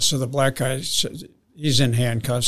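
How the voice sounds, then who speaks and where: A man with an American accent at a medium pitch, talking at a fairly quick pace in a monotone, flat delivery. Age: 70s. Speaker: retired drug investigator. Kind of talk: storytelling.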